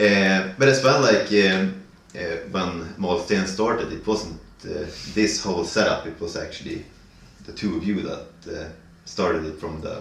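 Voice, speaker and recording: Speech in a northern Swedish accent at a moderate pace, with ordinary pitch variation, big swings in loudness, long, frequent pauses and audible room echo. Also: man, fairly low pitch for a man. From northern Sweden. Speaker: band vocalist. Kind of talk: casual interview chat. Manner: halting, many fillers.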